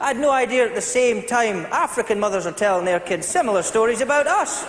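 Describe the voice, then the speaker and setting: Through noticeable background noise, a man with a Scottish accent talks very fast at an extremely high pitch, with lively intonation. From Scotland. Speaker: stand-up comedian. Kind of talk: stand-up comedy set.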